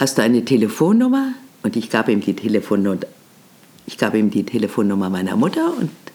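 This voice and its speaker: Through noticeable background noise, a woman talks at a fairly quick pace with lively intonation. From Germany, Berlin. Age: 80s+. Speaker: podcast host, veteran radio and TV presenter. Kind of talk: storytelling monologue. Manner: animated.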